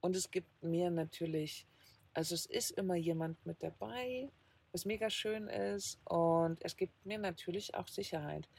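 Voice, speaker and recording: A woman with a fairly low pitch, lively intonation and a fairly slow pace, in a normal speaking voice. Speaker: van-life podcaster. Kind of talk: casual chat. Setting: in a camper van.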